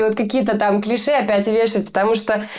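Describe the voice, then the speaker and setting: A woman speaks at a moderate pace. Her voice is fairly high. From Russia, small town. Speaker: metal band vocalist. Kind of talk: interview. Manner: hesitant, many filler sounds.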